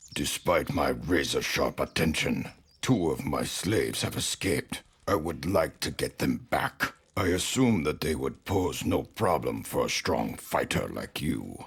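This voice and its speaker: A man puts on a character voice with a very deep, low pitch. He moves at a moderate pace with very wide pitch swings. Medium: video game. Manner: formal, pompous.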